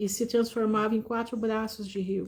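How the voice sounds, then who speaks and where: A dark, mellow tone in a very clean recording with a silent background. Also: woman. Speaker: lay preacher. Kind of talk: live-stream Bible talk.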